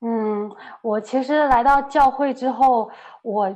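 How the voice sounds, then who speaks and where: A woman talks fairly slowly. Her pitch moves in a lively way. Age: 30s. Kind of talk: testimony. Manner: halting, many fillers.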